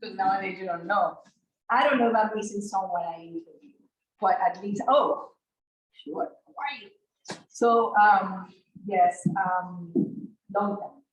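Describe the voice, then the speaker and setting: A woman with a medium pitch speaks at a fairly slow pace, somewhat breathy, with ordinary pitch variation, big swings in loudness and long, frequent pauses. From outside the US Northeast, abroad. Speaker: agroecology researcher. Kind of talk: research presentation. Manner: halting, with restarts and fillers.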